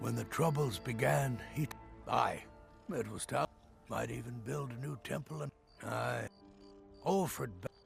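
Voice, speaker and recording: With clear music in the background, a man in a put-on character voice speaks at medium pitch and a moderate pace, leaving long, frequent pauses. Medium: video game. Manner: gruff, bitter.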